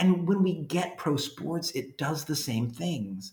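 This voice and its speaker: A man speaks fairly slowly, his fairly high pitch carrying lively intonation. There is vocal fry in his voice. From Louisiana. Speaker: history professor and author. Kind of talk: interview.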